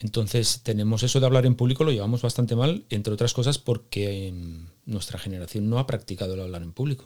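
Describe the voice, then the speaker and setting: Speaking at a very fast pace, a man with a medium-pitched, dark, mellow voice shows ordinary pitch variation in a very clean recording with a silent background. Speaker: podcast host. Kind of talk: interview; scripted intro monologue.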